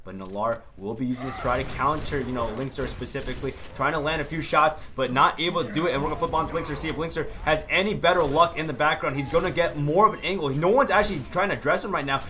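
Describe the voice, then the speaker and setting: Over noticeable background noise, a man races along at a very fast pace with lively intonation and hardly any pauses. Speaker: esports caster. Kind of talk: esports match commentary. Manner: excitable, fast play-by-play with sudden exclamations.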